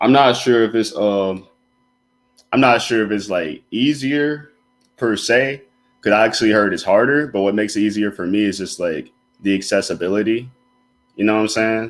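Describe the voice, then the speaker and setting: The speaker has an American accent and ordinary pitch variation, with long, frequent pauses. Music plays in the background. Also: man, fairly low pitch for a man, moderate pace. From Alabama. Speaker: student designer. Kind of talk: casual interview. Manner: casual, laid-back.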